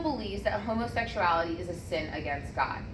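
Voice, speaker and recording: A loud woman speaks at a moderate pace with very wide pitch swings, with audible room echo and noticeable background noise. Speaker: student presenter in athletic training class. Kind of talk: classroom presentation.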